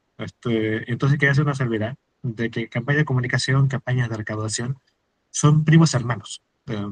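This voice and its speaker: Somewhat breathy and fairly even in intonation, a man's voice comes through with a dry, close sound and no echo. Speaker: fundraising and marketing expert, workshop speaker. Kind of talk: workshop talk. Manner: fast, words run together; many fillers (este, eh).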